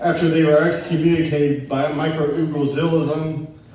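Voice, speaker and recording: Noticeable background noise is present. A man with an American accent and fairly high pitch speaks at a moderate pace. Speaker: poet. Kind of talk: poetry reading. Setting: live pub open mic.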